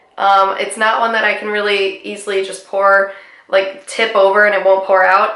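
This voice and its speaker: A woman with a medium pitch and a bright, sharp tone talks at a fairly slow pace, with audible room echo. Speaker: beauty vlogger. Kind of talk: product review. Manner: casual, conversational.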